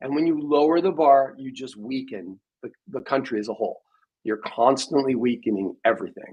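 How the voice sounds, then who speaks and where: Speaking in a plain, everyday voice, a man at a medium pitch keeps a moderate pace, showing ordinary pitch variation and big swings in loudness. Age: 60s. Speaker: podcast host. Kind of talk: casual debate chat. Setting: live stream.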